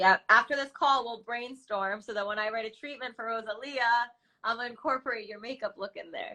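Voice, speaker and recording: A woman's bright, sharp, fairly high voice moves at a fairly quick pace with ordinary pitch variation and big swings in loudness. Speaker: music video director. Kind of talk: podcast interview host. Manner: casual, upbeat.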